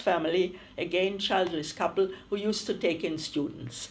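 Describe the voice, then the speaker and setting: Someone with a German accent speaks at a moderate pace. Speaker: refugee interviewee. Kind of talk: oral history interview.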